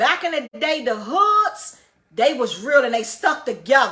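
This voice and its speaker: A woman's high, raised, projected voice with an animated tone, lively intonation and a moderate pace. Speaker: livestreamer. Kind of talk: storytelling.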